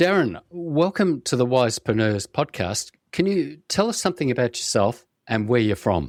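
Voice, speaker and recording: A man's medium-pitched voice with an Australian accent, very wide pitch swings, very even loudness, moderate pace and hardly any pauses, in a dry, close sound with no echo and a very clean recording with a silent background. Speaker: podcast host. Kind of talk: scripted intro; interview.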